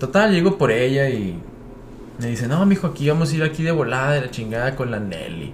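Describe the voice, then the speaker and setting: The voice moves at a fairly quick pace with very wide pitch swings, and audible room echo surrounds it. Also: man. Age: 30s. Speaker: baseball player. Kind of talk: casual chat. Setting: studio.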